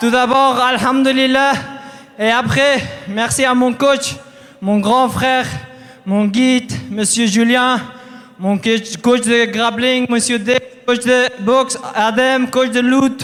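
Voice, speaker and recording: Over music in the background, a man speaks very slowly at an extremely high pitch, with long, frequent pauses. His intonation is monotone and flat, and his loudness stays very even. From Afghanistan. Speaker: MMA fighter. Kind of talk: post-fight interview.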